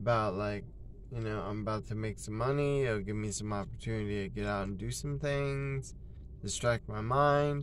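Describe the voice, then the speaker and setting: Over light background noise, a man with a fairly low pitch talks at a moderate pace with ordinary pitch variation, and the sound is dry with no echo. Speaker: flea market vendor. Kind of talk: casual vlog chat. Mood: subdued but trying to stay positive. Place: car. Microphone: phone near.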